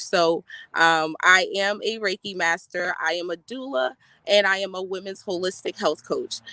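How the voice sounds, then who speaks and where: A woman with an American accent has a bright, sharp tone and ordinary pitch variation. The sound is dry and close, with no echo. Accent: US Southern, Gullah Geechee Lowcountry. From South Carolina Lowcountry (Beaufort), Gullah Geechee culture. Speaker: energy healer and health coach. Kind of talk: panel discussion introduction.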